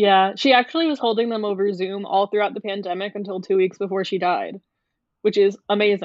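A woman speaks with a plain, everyday voice at a medium pitch. Her pace is fairly quick, with ordinary pitch variation. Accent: American. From US South, Atlanta. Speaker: graduate psychology student. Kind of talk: interview. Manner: casual, chatty.

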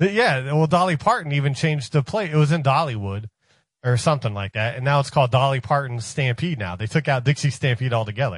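A man with an American accent, medium pitch, somewhat breathy, with lively intonation and a very fast pace against a quiet background. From Ohio. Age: 40s. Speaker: radio show staffer. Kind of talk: casual chat.

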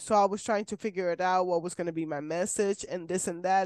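Woman with a Spanish accent at a medium pitch, dry, close sound with no echo, quiet background. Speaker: podcast host. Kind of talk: casual interview. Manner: animated.

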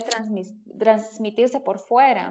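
Very slow speech from a woman, fairly high in pitch, with ordinary pitch variation. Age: 20s. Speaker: image consultant and interior designer. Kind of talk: casual chat.

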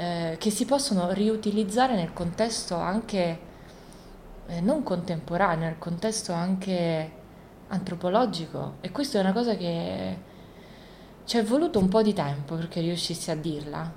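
With audible room echo, a woman talks fairly slowly at a fairly low pitch, with ordinary pitch variation and long, frequent pauses. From born in Isola del Liri, Italy; raised in Rio de Janeiro, Brazil from age 10 to 20. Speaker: visual artist. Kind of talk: interview in her studio. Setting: artist's studio. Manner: halting, many repetitions and fillers.

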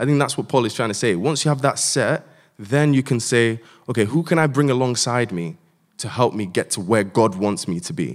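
A man with an unremarkable speaking voice talks at a fairly quick pace, using lively intonation and a medium pitch, on a very clean recording with a silent background. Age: 20s. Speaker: doctor. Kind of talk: panel discussion.

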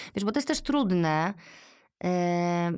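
The background is silent and the recording very clean. The speaker is a woman. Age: 40s. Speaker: podcast host, mother of three. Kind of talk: casual interview conversation.

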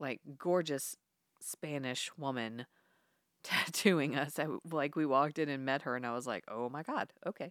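A woman with a very deep, low pitch and an animated tone at a moderate pace, ordinary pitch variation, dry, close sound with no echo, and a very clean recording with a silent background. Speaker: podcast co-host. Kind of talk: casual chat. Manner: animated, profane.

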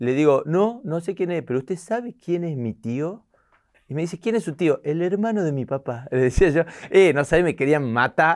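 In a Tucumán accent, a man speaks at a moderate pace with lively intonation and a fairly high pitch. The recording is very clean, with a silent background. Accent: Tucumán Argentine Spanish. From Tucumán, Argentina. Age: 40s. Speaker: comedian. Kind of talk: casual interview. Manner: animated.

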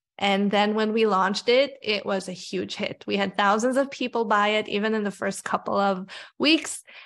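In a very clean recording with a silent background, a woman speaks at a moderate pace in an animated, enthusiastic tone. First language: not English. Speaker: career coach and author. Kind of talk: interview chat.

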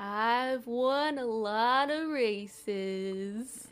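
Someone with a female-sounding voice puts on a character voice with a fairly high pitch.

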